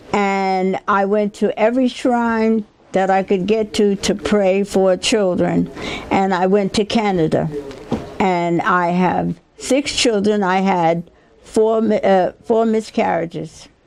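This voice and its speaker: The delivery is very slow, with very even loudness and fairly even intonation. Background noise is noticeable. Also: woman, medium pitch for a woman. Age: 80s+. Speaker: community elder and activist. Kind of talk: oral history interview.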